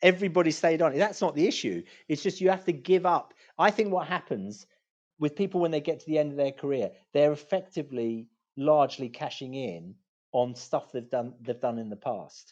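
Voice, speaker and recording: With lively intonation, a man talks at a fairly quick pace and a fairly high pitch. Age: 60s. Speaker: law firm managing partner. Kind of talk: interview. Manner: halting, with many repetitions.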